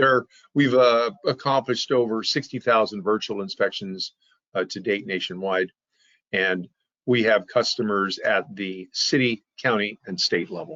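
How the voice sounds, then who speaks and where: An unremarkable speaking voice from a man of medium pitch, at a fairly slow pace with ordinary pitch variation. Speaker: software company presenter. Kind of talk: webinar presentation.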